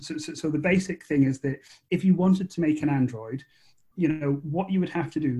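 In an Edinburgh accent, a man with a fairly high pitch speaks with a somewhat breathy, dark, mellow tone and fairly even intonation. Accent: Scottish (Edinburgh). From Scotland, Edinburgh. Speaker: author and screenwriter. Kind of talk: interview. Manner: halting, repeats words.

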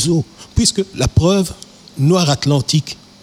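Over noticeable background noise, a man with a high pitch speaks at a very slow pace. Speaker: musician. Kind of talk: interview. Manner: halting.

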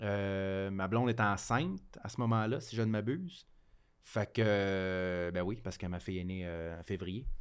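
This man speaks fairly slowly, with a fairly low pitch and ordinary pitch variation. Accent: Quebec. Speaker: comedian. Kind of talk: casual chat.

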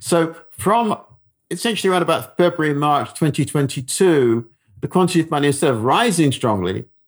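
At a moderate pace, a man with a British accent speaks with lively intonation. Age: 70s. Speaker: economist. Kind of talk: interview. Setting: remote call. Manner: hesitant, halting.

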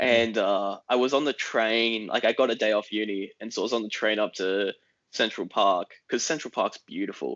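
A man's medium-pitched voice with fairly even intonation at a moderate pace. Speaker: political commentator. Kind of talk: casual chat. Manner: articulate.

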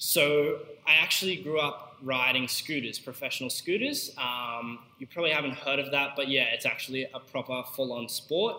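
Someone with an Australian accent speaks at a moderate pace amid noticeable background noise. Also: man, fairly high pitch for a man, ordinary pitch variation. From Queensland, Australia. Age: young. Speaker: podcast host and young entrepreneur. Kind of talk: unscripted solo monologue. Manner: casual, with fillers.

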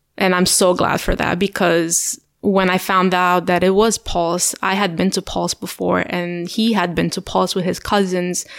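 A fairly slow, monotone, flat delivery in a Romanian accent, hardly any pauses, on a very clean recording with a silent background. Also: woman, medium pitch for a woman. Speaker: firefighter. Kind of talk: podcast interview. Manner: halting.

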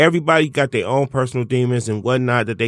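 Very clean recording with a silent background. The man talks at a fairly quick pace, at medium pitch, with ordinary pitch variation. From Detroit, US. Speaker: stand-up comedian. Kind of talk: casual chat. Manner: animated.

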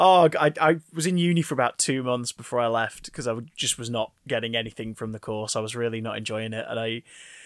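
In a very clean recording with a silent background, a man with a British accent speaks in a medium pitch. His pace is fairly quick, his pitch variation is ordinary, and the sound is dry and close with no echo. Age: 20s. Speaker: former children's TV presenter. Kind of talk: casual chat.

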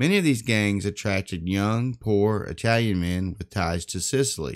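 A man's fairly low voice in a Southern US accent, at a moderate pace with lively intonation, on a very clean recording with a silent background. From US South. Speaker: podcast host. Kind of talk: scripted narration of history, podcast.

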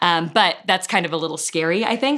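A woman speaking at a very fast pace on a very clean recording with a silent background. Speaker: festival organizer. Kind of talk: interview.

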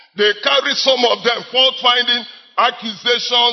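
At a fairly slow pace, a man talks at an extremely high pitch amid noticeable background noise. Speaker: evangelist preacher. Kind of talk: sermon; prayer. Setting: church.

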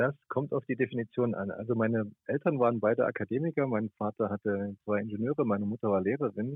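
Very fast man's speech at a medium pitch, with hardly any pauses and ordinary pitch variation. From Thuringia, eastern Germany. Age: 50s. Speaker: radio journalist. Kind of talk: interview. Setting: phone call.

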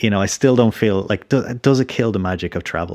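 On a very clean recording with a silent background, a man with an Irish accent speaks with ordinary pitch variation. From Ireland. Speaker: podcast host. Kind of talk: interview.

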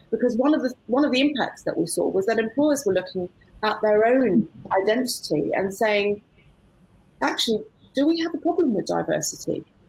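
A woman talks at a fairly quick pace. Her fairly high voice carries lively intonation. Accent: British. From UK. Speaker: barrister. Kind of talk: panel discussion. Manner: halting.

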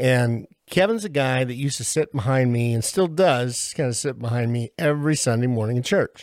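A man's medium-pitched voice with ordinary pitch variation at a fairly quick pace. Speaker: podcast host and faith program leader. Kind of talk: casual panel discussion. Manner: enthusiastic.

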